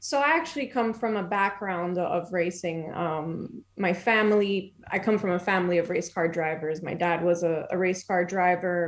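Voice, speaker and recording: A woman's fairly low-pitched voice with hardly any pauses, over noticeable background noise. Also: ordinary pitch variation, moderate pace. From France. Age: 20s. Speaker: motorsport business development executive. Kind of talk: casual podcast interview.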